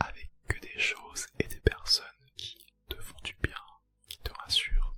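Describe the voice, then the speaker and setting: The speaker whispers at a fairly slow pace. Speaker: ASMR creator. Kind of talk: casual reaction commentary. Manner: whispered, soft-spoken.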